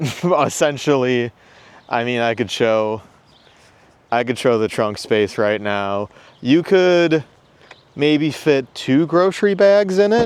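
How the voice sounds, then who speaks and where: The speech moves at a very slow pace with long, frequent pauses and very wide pitch swings. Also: man, medium pitch for a man. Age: 20s. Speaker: car vlogger. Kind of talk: casual vlog monologue. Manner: hesitant, many fillers.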